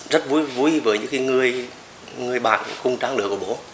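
Audible room echo and light background noise frame a man's voice. He speaks with fairly even intonation. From Nghe An, Vietnam. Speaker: football club president, former footballer. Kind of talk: interview answer. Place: home room.

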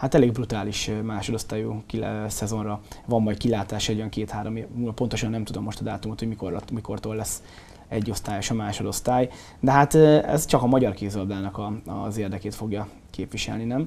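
Fairly even intonation from a man with a fairly low pitch, delivered at a fairly quick pace. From Hungary. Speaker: sports show host. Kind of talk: casual sports discussion. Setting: studio. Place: studio.

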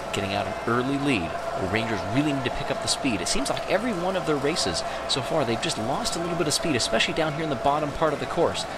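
Over noticeable background noise, a man with a fairly high voice talks at a very fast pace in an animated tone with very wide pitch swings. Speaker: sports commentator for marble races. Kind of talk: live play-by-play race commentary, mock-serious sportscaster style. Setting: studio voiceover over race footage. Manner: urgent, building excitement calling positions lap by lap; animated, exclamatory at close finishes.

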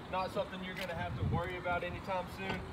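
A man speaks while background noise is clearly audible. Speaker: car salesman. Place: street. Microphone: phone near.

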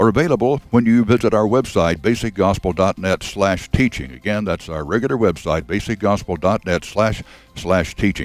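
In a very clean recording with a silent background, a man with an ordinary speaking voice talks at a fairly low pitch, a moderate pace and ordinary pitch variation. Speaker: radio announcer. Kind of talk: program announcements. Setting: studio.

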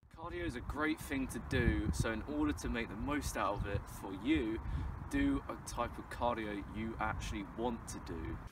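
The man's voice sounds dry, with no echo, against noticeable background noise. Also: moderate pace. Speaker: fitness vlogger. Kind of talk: tutorial advice to camera. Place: open country.

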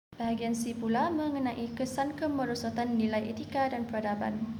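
At a moderate pace, a woman speaks in a fairly high pitch with fairly even intonation and a plain, everyday voice. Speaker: university student. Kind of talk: class presentation.

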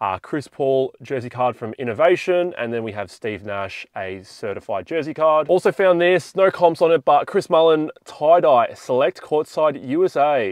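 Someone with an Australian accent speaks with lively intonation in a dry, close sound with no echo and a quiet background. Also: man. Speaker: sports card collector vlogger. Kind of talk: casual vlog. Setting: card show floor.

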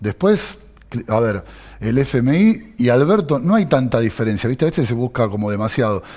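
Over a quiet background, a man with a Rioplatense accent speaks at a moderate pace in a medium pitch with lively intonation. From Argentina, Buenos Aires. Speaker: city legislator; interview guest. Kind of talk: political interview. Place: studio. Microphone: headset.

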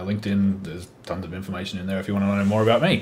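A man with a fairly low voice speaks in an Australian accent. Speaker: IT architect; panelist. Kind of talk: panel discussion. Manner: casual, hesitant with fillers. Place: home room. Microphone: video call.

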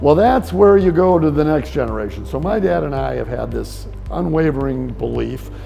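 A man's speech moves at a middling speed. Music plays softly behind him. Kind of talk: interview answer. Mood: upbeat, proud storytelling. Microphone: lapel.

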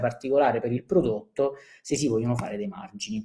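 A man's fairly quick speech shows ordinary pitch variation, set against a quiet background. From southern Italy. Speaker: short-term rental business speaker; webinar presenter. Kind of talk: conference talk. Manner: hesitant, many fillers. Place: home room. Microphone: webcam.

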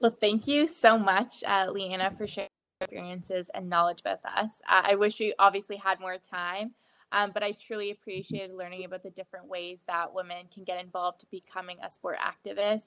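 At a fairly quick pace, a woman speaks in a medium pitch with a bright, sharp tone, fairly even intonation, and big swings in loudness, in a dry sound with no echo. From Ontario. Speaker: student moderator. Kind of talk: session moderation. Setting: video call. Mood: friendly, smiling. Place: home room. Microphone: video call.

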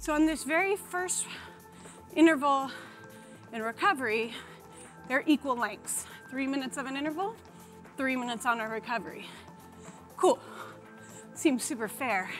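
A high-pitched woman at a moderate pace with long, frequent pauses, clear music in the background. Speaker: fitness coach. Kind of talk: workout instruction. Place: studio. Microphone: lapel.

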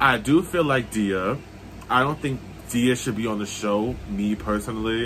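With light background noise behind him, a man speaks at a fairly low pitch with ordinary pitch variation. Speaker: reality TV reaction vlogger. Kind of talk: casual vlog chat. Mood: opinionated, annoyed at the show. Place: home room. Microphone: phone near.

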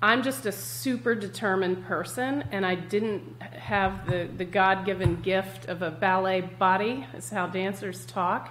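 A woman talks at a fairly slow pace, with ordinary rise and fall in her pitch. Light background noise sits behind her. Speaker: guest health coach. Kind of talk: interview answer. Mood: candid, reflective. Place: home room.

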